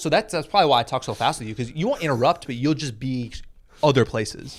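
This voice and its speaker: A man at a medium pitch and a fairly quick pace, with ordinary pitch variation over noticeable background noise. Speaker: podcast co-host, comedian. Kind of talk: casual chat. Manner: fast.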